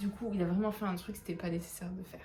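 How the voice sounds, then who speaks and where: A woman's medium-pitched voice with flat, monotone intonation over background music. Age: 20s. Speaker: book reviewer. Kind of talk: casual talk to camera. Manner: casual, chatty.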